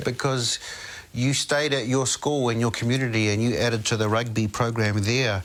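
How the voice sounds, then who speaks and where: Male speech at a moderate pace and medium pitch, in a plain, everyday voice. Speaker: interview host. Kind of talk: interview questions.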